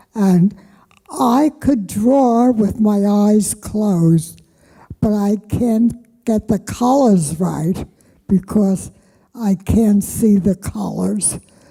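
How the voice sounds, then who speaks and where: A somewhat breathy woman's voice of medium pitch, dark and mellow in tone, at a very slow pace. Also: ordinary pitch variation. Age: 90s. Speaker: senior resident artist. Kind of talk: panel talk.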